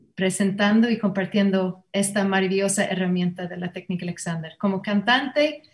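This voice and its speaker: The speaker is a woman with an English accent. Her voice is medium in pitch and somewhat breathy. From Ireland, Limerick. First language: English (speaking Spanish). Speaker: Alexander Technique teacher and singer. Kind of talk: panel discussion introduction. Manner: halting.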